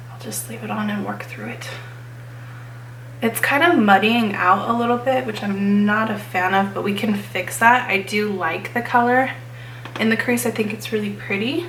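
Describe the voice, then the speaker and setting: Loudness swings widely across speech at a moderate pace, broken by long, frequent pauses. Noticeable background noise and audible room echo are present. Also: woman. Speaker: beauty vlogger. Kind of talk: tutorial. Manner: casual.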